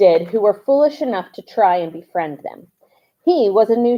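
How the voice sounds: In a quiet background, a natural reading voice moves with lively intonation.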